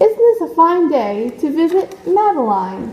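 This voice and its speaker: A woman puts on a character voice at an extremely high pitch, swinging very widely in pitch. She keeps a moderate pace over clear background noise. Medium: read story. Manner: gentle, caring.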